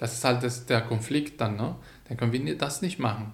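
A man's medium-pitched, somewhat breathy voice at a moderate pace, with audible room echo. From Syria, Hama. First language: Arabic (speaking German). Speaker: migrant advisory council member. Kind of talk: interview. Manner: animated.

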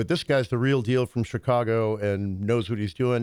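This man has a plain, everyday voice at medium pitch, with an American accent. He speaks at a fairly quick pace with fairly even intonation, on a very clean recording with a silent background. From US military family, Southern parents. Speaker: musician and economics commentator. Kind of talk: casual chat.

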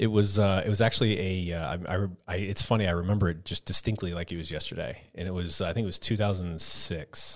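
With an American accent, a man talks at a very fast pace with hardly any pauses, his very deep, low pitch and fairly even intonation captured on a very clean recording against a silent background. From Texas. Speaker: CrossFit gym owner and athlete. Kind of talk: casual interview.

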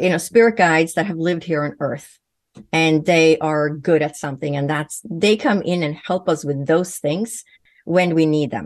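A woman with a Swedish accent speaks at a fairly slow pace and a fairly low pitch, with ordinary pitch variation and a quiet background. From Sweden. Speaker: naturopathic physician and medium. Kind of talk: interview.

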